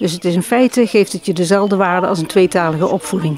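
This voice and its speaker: A woman's fairly quick speech with ordinary pitch variation and noticeable background noise. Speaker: dialect translator. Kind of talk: interview answer.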